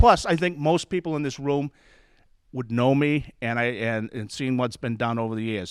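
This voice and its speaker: A man with an unremarkable speaking voice talks at a medium pitch and fairly quick pace with ordinary pitch variation, in a dry, close sound with no echo on a very clean recording with a silent background. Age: 60s. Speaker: resident speaking at public forum. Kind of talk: public comment.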